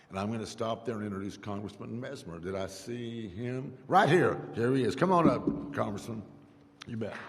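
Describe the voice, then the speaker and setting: A man of medium pitch speaks at a moderate pace with an American accent, lively intonation and big swings in loudness. Audible room echo and noticeable background noise are present. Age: 70s. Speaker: politician. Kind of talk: public speech.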